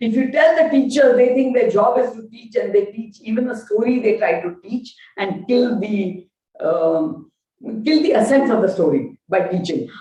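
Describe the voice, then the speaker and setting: In a Gujarati accent, a woman talks at a moderate pace with a fairly high pitch and lively intonation. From India, Gujarati-speaking. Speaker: education professor. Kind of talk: lecture.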